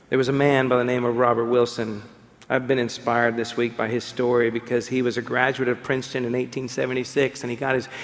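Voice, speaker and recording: A man talks at medium pitch over noticeable background noise. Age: 50s. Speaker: pastor. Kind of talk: sermon.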